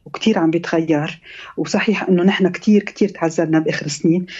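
The speaker has an unremarkable speaking voice, a moderate pace and fairly even intonation. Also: woman. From Lebanon, Beirut. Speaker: novelist and architect. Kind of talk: radio interview.

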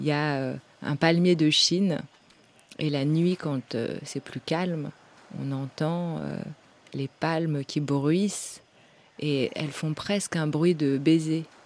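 Speaking at a very slow pace, a woman with a very deep, low voice keeps her intonation fairly even and leaves long, frequent pauses. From France. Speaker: novelist and editor. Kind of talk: interview.

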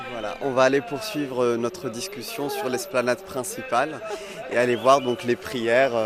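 Noticeable background noise runs under the recording. A man with a medium pitch talks at a moderate pace. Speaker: radio correspondent. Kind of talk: field interview. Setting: outdoors.

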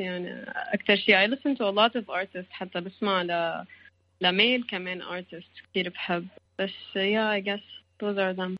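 Her voice is a plain, everyday voice at medium pitch, and this woman keeps her intonation fairly even. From Lebanon. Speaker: singer-songwriter. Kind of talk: interview.

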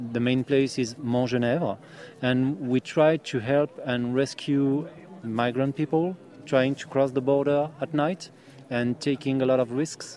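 Talking at a fairly slow pace, a man with a French accent keeps a medium pitch and fairly even intonation. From France. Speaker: volunteer rescuer. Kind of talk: interview.

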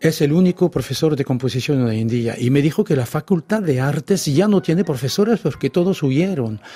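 With a French accent, a man speaks fairly quickly with hardly any pauses, a fairly high pitch, lively intonation, a dark, mellow tone, a somewhat breathy quality and very even loudness, in a dry, close sound with no echo. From France, Brittany. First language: French (speaking Spanish). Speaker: author. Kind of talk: radio interview.

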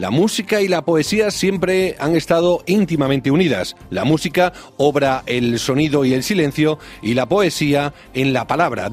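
With music in the background, a man talks at a moderate pace in a fairly high pitch with lively intonation. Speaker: radio host. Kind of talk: radio presentation in Spanish, scripted intro. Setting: radio studio. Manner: formal, measured.

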